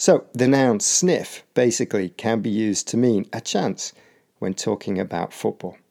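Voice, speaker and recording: Speaking with a British accent at a moderate pace, a man has a medium pitch, a dark, mellow tone and ordinary pitch variation, in a dry, close sound with no echo and a very clean recording with a silent background. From UK. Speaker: podcast host and English teacher. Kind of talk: educational podcast explanation. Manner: clear and measured.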